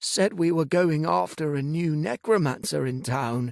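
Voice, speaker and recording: A man puts on a character voice at a fairly high pitch. He speaks at a moderate pace. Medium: read story. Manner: meek, apologetic.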